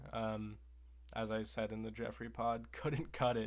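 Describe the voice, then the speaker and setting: In a flat, monotone delivery, a man talks at a moderate pace with a fairly low pitch. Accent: American. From Oregon, US. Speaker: podcast co-host. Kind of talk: casual banter. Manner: sarcastic, deadpan.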